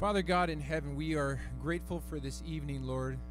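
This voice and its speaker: Clear music sits in the background of this dry recording with no echo. A man talks at a moderate pace. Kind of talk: prayer. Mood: calm, reverent. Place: church. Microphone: handheld.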